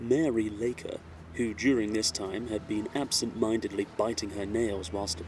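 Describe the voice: Someone reads aloud plainly. Intonation remains fairly even throughout.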